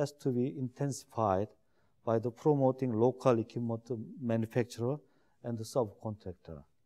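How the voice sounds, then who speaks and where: Dark and mellow in tone, a man with a Korean accent talks at a moderate pace with ordinary pitch variation. The recording is very clean, with a silent background. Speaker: shipbuilding executive. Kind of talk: lecture. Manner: halting.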